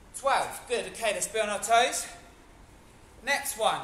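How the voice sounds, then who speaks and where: This man's voice sits extremely high in pitch. Room echo is audible, with light noise in the background. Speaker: fitness instructor. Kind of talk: live online HIIT class instruction, counting reps aloud. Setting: video call. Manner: energetic, encouraging coach calling out counts; casual, chatty and upbeat. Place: gym. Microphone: camera far.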